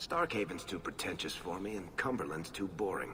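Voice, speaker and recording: Over clear background noise, a man puts on a character voice. It sits fairly low for a man and moves at a fairly quick pace. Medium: game stream. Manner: wry, dry humor.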